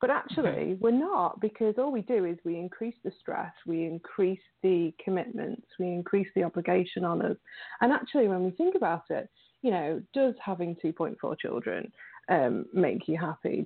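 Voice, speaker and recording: A woman with a British accent speaks at a medium pitch with lively intonation. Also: moderate pace. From England. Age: 30s. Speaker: recovery advocate and writer. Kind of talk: interview. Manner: halting.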